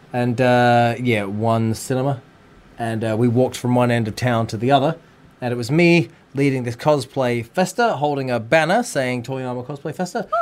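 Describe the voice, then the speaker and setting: Delivery moves at a moderate pace. It comes in an Australian accent. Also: man, medium pitch for a man, ordinary pitch variation. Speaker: wrestler, singer and podcast co-host. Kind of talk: casual chat. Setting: radio studio. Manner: animated.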